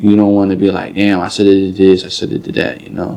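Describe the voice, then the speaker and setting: A man speaks in a dark, mellow tone. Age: 20s. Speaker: rapper. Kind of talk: interview. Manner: casual, filler-heavy.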